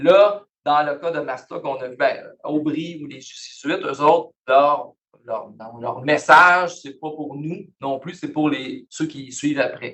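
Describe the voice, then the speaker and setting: Speaking very slowly with a Quebec accent, a man of fairly high pitch keeps his intonation fairly even while his loudness swings a lot. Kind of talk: lecture. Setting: university lecture hall, also on Zoom. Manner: casual, conversational.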